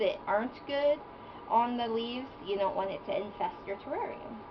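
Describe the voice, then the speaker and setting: Noticeable background noise sits under a woman speaking at a fairly slow pace with ordinary pitch variation. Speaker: isopod and reptile keeper. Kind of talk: casual talk to camera, hobby tutorial.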